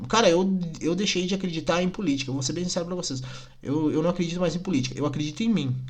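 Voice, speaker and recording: A man talks very fast in a high voice with ordinary pitch variation. Audible room echo and noticeable background noise fill the recording. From Rio Grande do Sul, Brazil (Nova Petrópolis). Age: 20s. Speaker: podcaster. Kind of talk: casual monologue rant. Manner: animated, indignant.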